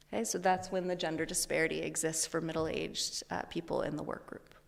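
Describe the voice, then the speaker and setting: This woman talks at a very fast pace. Her words come rapidly. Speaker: psychology researcher. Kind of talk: lecture.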